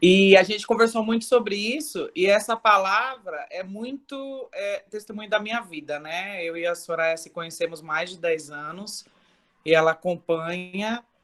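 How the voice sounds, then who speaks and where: The voice moves at a fairly slow pace, with lively intonation and big swings in loudness. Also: woman, medium pitch for a woman. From Brazil, São Paulo. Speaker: church member. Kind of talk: testimony. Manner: loud, expressive.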